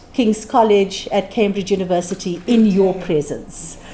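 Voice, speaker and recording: Noticeable background noise sits behind this woman's voice. She has a medium pitch and speaks at a moderate pace. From South Africa. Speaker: conference speaker and author. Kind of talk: conference speech.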